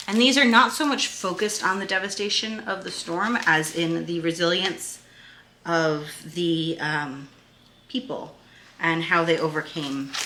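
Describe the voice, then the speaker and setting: A woman with a New England accent speaks at fairly low pitch with lively intonation. Some room echo can be heard. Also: fairly slow pace. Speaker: homeschooling parent and video creator. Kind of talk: resource review tutorial. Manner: casual, with frequent fillers.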